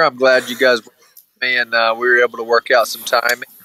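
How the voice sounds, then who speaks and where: Speaking at a very fast pace with a Southern US accent, a man has a bright, sharp tone in a dry, close sound with no echo. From Alabama. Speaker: former college mascot rider. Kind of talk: interview.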